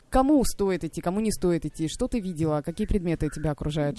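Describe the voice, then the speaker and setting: The tone is dark and mellow, with lively intonation. The pace is very fast. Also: woman. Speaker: radio host. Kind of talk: live radio talk. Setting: radio studio.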